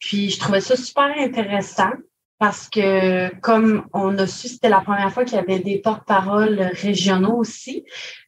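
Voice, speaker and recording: This woman's voice is medium in pitch and somewhat breathy, with fairly even intonation. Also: moderate pace. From Quebec, Gaspésie. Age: 20s. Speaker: government information clerk, spokesperson. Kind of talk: interview testimony.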